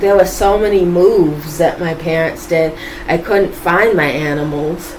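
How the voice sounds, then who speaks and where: A woman with an American accent speaks at a fairly slow pace and a medium pitch, with ordinary pitch variation. Noticeable background noise and audible room echo fill the recording. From Boston, US. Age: 20s. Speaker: YouTuber, vlogger. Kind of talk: casual vlog monologue.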